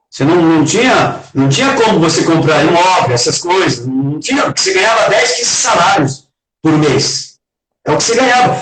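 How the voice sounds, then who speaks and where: A man speaks at a moderate pace and a high pitch, with very wide pitch swings. His loudness stays very even. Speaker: retired footballer. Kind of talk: interview.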